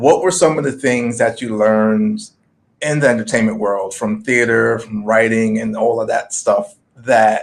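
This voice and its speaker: A man's unremarkable speaking voice, medium in pitch, with fairly even intonation. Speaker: interview host. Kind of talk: interview questions.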